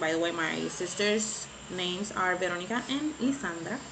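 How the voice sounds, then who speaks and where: A woman at a medium pitch and moderate pace, with audible room echo and noticeable background noise. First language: Spanish. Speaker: beauty vlogger. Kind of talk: casual vlog chat. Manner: halting, searching for words.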